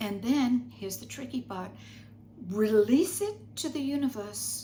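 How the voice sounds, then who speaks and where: With audible room echo around her, a woman with vocal fry and a dark, mellow tone talks at a moderate pace, her pitch swinging very widely. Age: 80s+. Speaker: spiritual teacher. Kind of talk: spiritual guidance talk.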